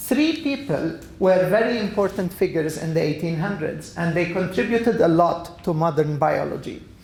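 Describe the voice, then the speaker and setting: With hardly any pauses, the speech moves at a moderate pace over noticeable background noise. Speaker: biology professor giving a lecture. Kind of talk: lecture.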